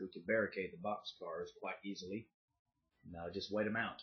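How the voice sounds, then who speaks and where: With a Southern US accent, a man gets his words out fairly quickly. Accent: somewhat country Southern US. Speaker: YouTuber. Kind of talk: casual vlog monologue. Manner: casual, with filler pauses.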